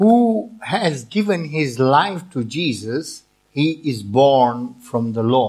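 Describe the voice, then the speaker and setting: Very slowly, a man speaks at a fairly high pitch, his voice making very wide pitch swings. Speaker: visiting preacher. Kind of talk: sermon, interpreted line by line into Dutch. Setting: church with congregation. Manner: earnest, preaching with pauses for translation; audience-engaging, asks for amens.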